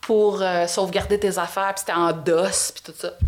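In a Quebec accent, a woman speaks at a moderate pace with a medium pitch. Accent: Québécois French. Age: 50s. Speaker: host's mother, former media researcher. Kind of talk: casual chat.

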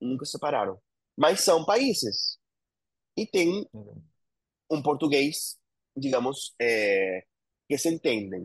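The speaker has a Spanish accent and vocal fry, talking at a very slow pace with long, frequent pauses. Pitch swings very widely and loudness varies a lot, in a dry, close sound with no echo. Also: man, fairly high pitch for a man. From Argentina, Buenos Aires province. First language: Spanish (speaking Portuguese). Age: 40s. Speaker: entrepreneur. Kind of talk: interview.

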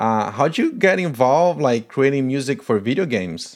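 Speaking with a Portuguese accent, a man moves at a fairly slow pace with lively intonation on a very clean recording with a silent background. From Paraguay. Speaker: podcast host. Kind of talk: interview conversation.

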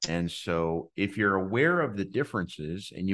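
A man talks at a moderate pace with a fairly low pitch. He has a normal speaking voice. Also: quiet background. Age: 50s. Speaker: tech entrepreneur. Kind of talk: interview.

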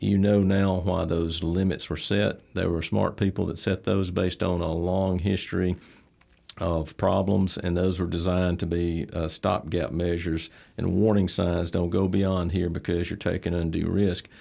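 A very deep, low-pitched man with an Alabama accent and a dark, mellow tone, on a very clean recording with a silent background. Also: fairly even intonation, moderate pace. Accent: Southern US (Alabama). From US South, Troy, Alabama. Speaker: bank president and CEO. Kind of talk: interview. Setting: studio. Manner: halting, many fillers.

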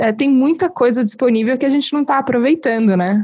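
With a high pitch and a dark, mellow tone, a woman speaks at a fairly quick pace with lively intonation. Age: 30s. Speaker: podcast host. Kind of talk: casual interview conversation.

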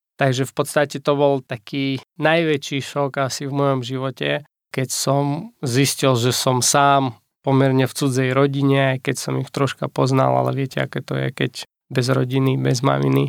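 A man at a moderate pace with a monotone, flat intonation, in a very clean recording with a silent background. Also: medium pitch for a man, dry, close sound with no echo. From Ukraine. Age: 30s. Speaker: pastor. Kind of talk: testimony. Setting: studio.

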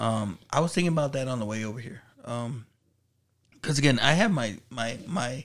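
A plain, everyday voice speaks at a moderate pace. The intonation is lively. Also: man, medium pitch for a man. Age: 40s. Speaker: podcast co-host. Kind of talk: casual chat.

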